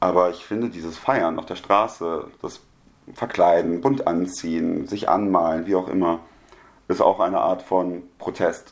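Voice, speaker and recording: A man's very deep, low voice, fairly even in intonation, at a fairly slow pace. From Germany. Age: 20s. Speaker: media studies student. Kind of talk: casual chat.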